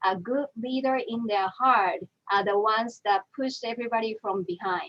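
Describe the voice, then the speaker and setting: A woman speaks with a Japanese accent and a fairly high pitch. Her pitch variation is ordinary. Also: moderate pace. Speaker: animal trainer. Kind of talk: panel discussion.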